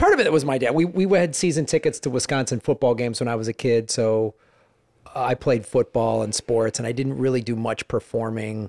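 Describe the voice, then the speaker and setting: An ordinary speaking voice with an American accent moves at a fairly quick pace, its pitch varying an ordinary amount. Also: man, medium pitch for a man. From Chicago area, US Midwest. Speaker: stand-up comedian. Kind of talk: casual interview.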